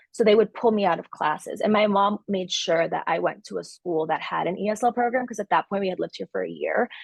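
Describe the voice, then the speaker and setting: Talking at a very fast pace with hardly any pauses, a woman with a Californian accent sounds dry and close, with no echo. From Los Angeles, San Fernando Valley; early childhood in El Salvador. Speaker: coffee entrepreneur. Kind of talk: interview. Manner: casual, frequent 'like' and 'um'.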